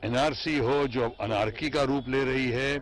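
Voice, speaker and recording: A man talks at a very slow pace, the sound dry with no echo and faint music playing behind him. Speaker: politician. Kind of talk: interview answer. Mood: assertive, critical of government. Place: car. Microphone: handheld.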